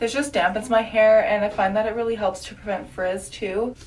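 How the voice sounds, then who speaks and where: Over noticeable background noise, a woman speaks at medium pitch. Her intonation is fairly even and her pace moderate. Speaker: beauty vlogger. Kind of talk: casual vlog. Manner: filler-heavy speech.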